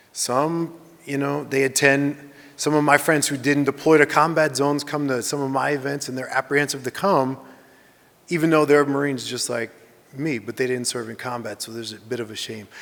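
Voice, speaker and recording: At a fairly quick pace, a man with a fairly high pitch speaks with fairly even intonation and big swings in loudness. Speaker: veteran presenter. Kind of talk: Q&A after presentation.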